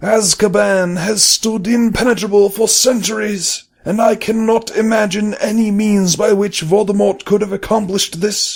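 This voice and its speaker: Putting on a character voice, a man with a high pitch talks at a moderate pace with hardly any pauses. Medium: read story. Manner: measured, solemn.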